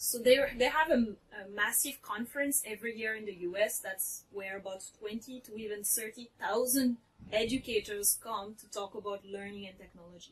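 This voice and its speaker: A woman with a French accent speaks at a moderate pace and fairly high pitch, with ordinary pitch variation and big swings in loudness. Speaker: teacher and author. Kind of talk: interview.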